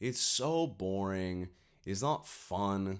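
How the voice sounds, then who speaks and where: Captured in a very clean recording against a silent background, a man speaks with very deep, low pitch and lively intonation. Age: 20s. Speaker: YouTuber, commentator. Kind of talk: opinion monologue to camera. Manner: casual, many fillers.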